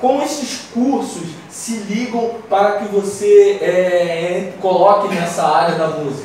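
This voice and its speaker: A man speaks very slowly at a high pitch, with lively intonation and hardly any pauses. Strong room echo and light background noise are audible. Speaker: radio host. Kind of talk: radio talk show. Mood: warm, slightly nervous. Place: studio.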